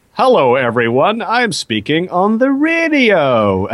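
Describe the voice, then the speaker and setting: A man's put-on character voice, high-pitched with very wide pitch swings, at a fairly slow pace. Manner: exaggerated, announcer-like.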